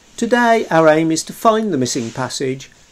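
Music plays in the background. The speech moves at a moderate pace. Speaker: expedition narrator. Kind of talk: documentary narration.

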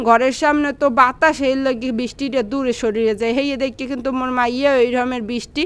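This woman has a high-pitched voice. Her intonation is monotone and flat. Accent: Barishal. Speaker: vlogger and mother. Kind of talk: casual vlog narration.

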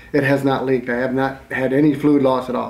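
Audible room echo surrounds a man talking at a moderate speed. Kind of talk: casual explanatory vlog talk. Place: garage. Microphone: camera far.

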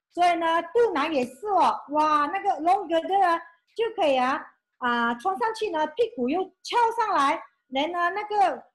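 Against a quiet background, a woman speaks at a moderate pace with an extremely high pitch and very wide pitch swings. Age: 50s. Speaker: former school clerk, beauty brand representative; presenter. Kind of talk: testimony. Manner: animated. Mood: enthusiastic, grateful. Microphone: video call.

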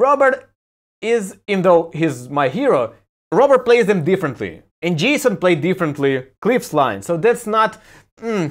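With an animated tone and very wide pitch swings, a man talks at a moderate pace in a high voice over a quiet background. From Ukraine. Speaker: YouTuber and music commentator; YouTuber, music commentator. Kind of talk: video review monologue. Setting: home balcony. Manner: casual, animated. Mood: sarcastic, opinionated. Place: home room. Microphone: phone near.

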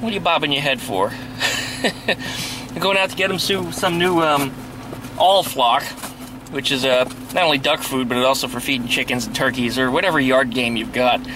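A man at a fairly quick pace, dry with no echo, over noticeable background noise. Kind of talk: casual vlog chat. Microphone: phone near.

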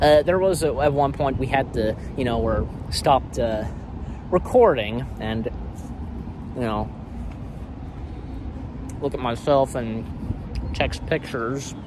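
Speaking at a very slow pace with long, frequent pauses, a man uses ordinary pitch variation in a dry sound with no echo, against noticeable background noise. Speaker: vlogger. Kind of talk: casual vlog chat. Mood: upbeat, chatty. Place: street. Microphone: phone near.

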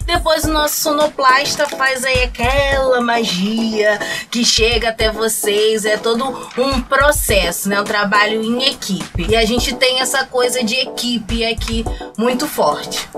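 A woman's high-pitched voice, fairly slow, with ordinary pitch variation and clear music in the background. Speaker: producer. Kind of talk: casual talk to camera. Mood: warm, enthusiastic. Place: studio.

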